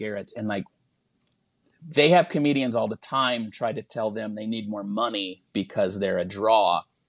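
With an ordinary speaking voice at a medium pitch, a man talks at a moderate pace in a dry, close sound with no echo and a quiet background. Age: 40s. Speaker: stand-up comedian. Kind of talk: casual chat.

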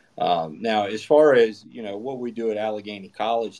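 A man with a normal speaking voice, fairly low in pitch and with an American accent, talks at a moderate pace with ordinary pitch variation against a quiet background. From western Maryland, US. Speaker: assistant baseball coach. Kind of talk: casual interview. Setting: Twitter Spaces, online audio.

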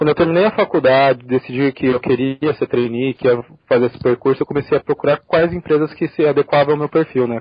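The speech moves fairly quickly, with ordinary pitch variation. It is an ordinary speaking voice. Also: man. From Brazil, São Paulo. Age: 20s. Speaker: corporate trainee. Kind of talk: interview.

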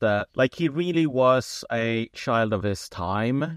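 A man with a Swedish accent speaks at medium pitch and a fairly slow pace. The sound is dry and close with no echo, over a quiet background. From Sweden. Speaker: writer. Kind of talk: interview.

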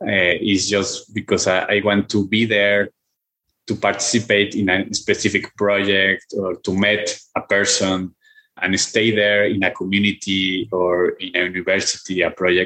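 A man with a Mexican accent talks at a fairly slow pace in a fairly low pitch, his bright, sharp tone held at very even loudness with monotone, flat intonation. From Guadalajara, Mexico. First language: Spanish. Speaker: philosopher and professor. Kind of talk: interview conversation. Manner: halting, with repetitions.

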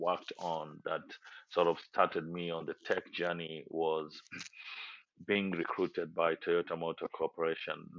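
The speaker is a man with a Kenyan accent. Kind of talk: casual interview.

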